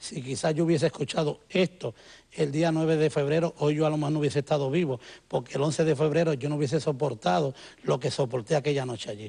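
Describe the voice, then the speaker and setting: Somewhat breathy speech rushes along at a very fast pace. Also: man, fairly high pitch for a man, ordinary pitch variation. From Puerto Rico. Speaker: musician, former church member. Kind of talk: TV interview testimony.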